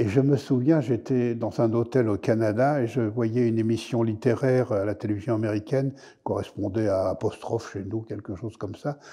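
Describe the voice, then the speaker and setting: Medium pitch from a man, dark and mellow in tone, with fairly even intonation, a moderate pace, and a quiet background. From Paris (Montmartre); Paris. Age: 70s. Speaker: historian. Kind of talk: interview. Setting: studio. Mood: calm, warm, amused. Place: studio.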